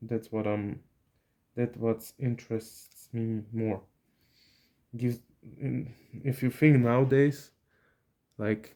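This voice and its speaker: Speaking very slowly, with long and frequent pauses, a man with a medium pitch, a dark, mellow tone and a Slovak accent delivers his words. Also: fairly even intonation. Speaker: YouTuber building lego sets. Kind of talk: casual chat. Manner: halting.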